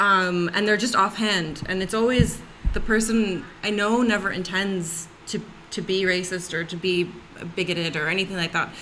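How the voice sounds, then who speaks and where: Over noticeable background noise, a woman with an American accent speaks at a medium pitch and moderate pace, her intonation fairly even. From United States. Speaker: panel guest on race discussion. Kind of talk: casual panel discussion.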